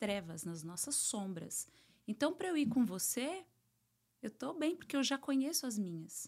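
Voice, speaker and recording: Her pitch is high and swings very widely as a woman speaks at a fairly slow pace. The recording is very clean, the background silent. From Brazil. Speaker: psychoanalyst and therapist. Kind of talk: interview, casual chat.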